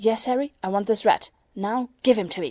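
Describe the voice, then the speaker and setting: In a put-on character voice, a female-sounding speaker talks at a moderate pace with fairly high pitch. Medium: read story. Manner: raving, urgent.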